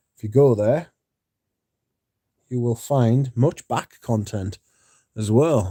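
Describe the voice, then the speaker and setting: A man talks at a fairly slow pace and medium pitch, with ordinary pitch variation and a dark, mellow tone. The recording is very clean, with a silent background and a dry, close sound with no echo. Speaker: fragrance content creator. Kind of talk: livestream chat. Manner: deliberately slowed, careful pronunciation.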